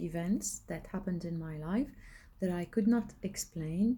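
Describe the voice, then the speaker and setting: Her voice is somewhat breathy and dark and mellow in tone, a woman at medium pitch with ordinary pitch variation. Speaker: spiritual coach and video blogger. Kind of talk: casual monologue. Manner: halting, many fillers. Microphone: recording without the microphone.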